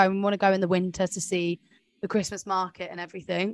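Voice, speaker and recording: A woman with a southern English accent and a medium pitch speaks at a very fast pace against a quiet background. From West Sussex, southern England. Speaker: flight attendant and podcast co-host. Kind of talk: casual chat.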